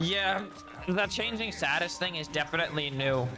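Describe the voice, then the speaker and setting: With music in the background, a man keeps a moderate pace and ordinary pitch variation. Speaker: gaming streamer. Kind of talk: casual chat. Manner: casual, trips over words.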